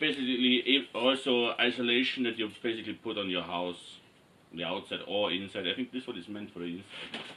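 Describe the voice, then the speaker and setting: With an Austrian accent, a man talks at a fairly quick pace in a medium-pitched voice with ordinary pitch variation, amid noticeable background noise. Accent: non-native English, Austrian German. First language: German. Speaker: cosplay maker. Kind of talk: tutorial. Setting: in front of a camera, workshop. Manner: halting, many fillers.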